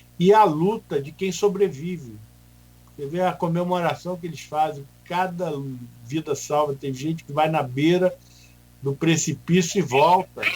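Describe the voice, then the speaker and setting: A man talks at a fairly slow pace with a fairly high pitch. He has an ordinary speaking voice. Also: ordinary pitch variation. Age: 60s. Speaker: hospital association president. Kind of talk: radio interview.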